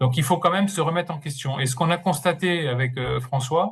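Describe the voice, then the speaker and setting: Somewhat breathy, a man speaks quickly enough, at a fairly high pitch with fairly even intonation. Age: 60s. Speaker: interim manager and career coach. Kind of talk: webinar presentation. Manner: hesitant, with many fillers and repetitions.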